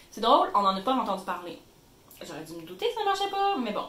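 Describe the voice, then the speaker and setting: Noticeable background noise and audible room echo surround a woman speaking in a Quebec accent. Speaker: YouTuber. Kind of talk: tutorial. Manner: animated.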